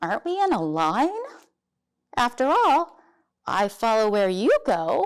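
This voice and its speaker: This put-on character voice moves at a fairly slow pace, with very wide pitch swings and long, frequent pauses. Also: woman, high pitch for a woman. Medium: read story. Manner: fretful, hesitant.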